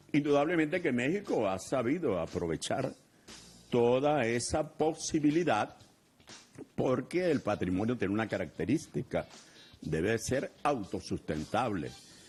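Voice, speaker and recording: Against music in the background, a man talks at a fairly slow pace with very wide pitch swings. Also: medium pitch for a man. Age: 70s. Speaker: cultural heritage official. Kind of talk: interview.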